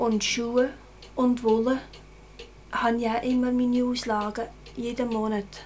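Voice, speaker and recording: With light background noise behind her, a woman speaks at a very slow pace. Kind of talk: interview answer. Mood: calm, modest, hesitant. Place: home room.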